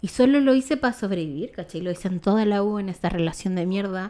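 A woman speaks in a Chilean accent at medium pitch. Her intonation is lively. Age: 20s. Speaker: photographer. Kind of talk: testimony.

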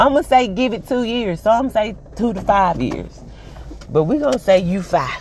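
An animated tone at a fairly slow pace, over noticeable background noise. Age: 40s. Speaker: motivational vlogger. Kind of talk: motivational monologue.

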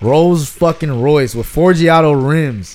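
A man talks at a fairly slow pace in a normal speaking voice. His pitch varies in an ordinary way. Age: 20s. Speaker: podcast co-host. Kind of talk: casual chat. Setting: at home.

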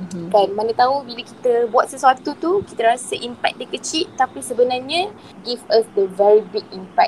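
A woman with a Malaysian accent speaks at a moderate pace, fairly high in pitch with very wide pitch swings. Noticeable background noise is present. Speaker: ICU nurse. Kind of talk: interview.

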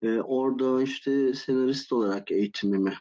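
A man with an unremarkable speaking voice talks at a medium pitch with lively intonation. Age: 50s. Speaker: game design academic. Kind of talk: casual interview. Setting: live Discord voice call.

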